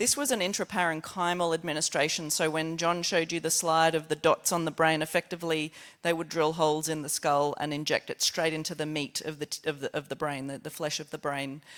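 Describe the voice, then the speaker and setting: Spoken with an Australian accent at a fairly quick pace with hardly any pauses, the clip is a very clean recording with a silent background. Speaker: scientist presenting research. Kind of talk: conference presentation. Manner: fast; halting.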